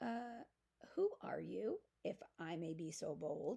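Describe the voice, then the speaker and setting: Using a put-on character voice, a woman speaks with a raspy edge. Her pace is fairly slow. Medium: read story.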